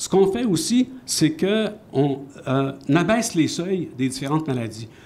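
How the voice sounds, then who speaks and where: At a fairly slow pace, a man speaks in a dark, mellow, somewhat breathy tone with very wide pitch swings. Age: 70s. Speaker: science journalist. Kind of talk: panel discussion.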